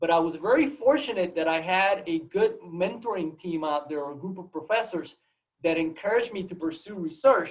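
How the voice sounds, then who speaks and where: Speaking at a fairly quick pace with a Puerto Rican accent, a man with a high pitch shows ordinary pitch variation and big swings in loudness. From Puerto Rico, Mayagüez. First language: Spanish. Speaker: biology professor. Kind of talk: seminar talk. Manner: halting, many repetitions.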